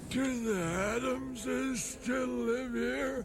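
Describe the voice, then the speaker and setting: A put-on character voice at a very slow pace, clear background noise behind it. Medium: short film.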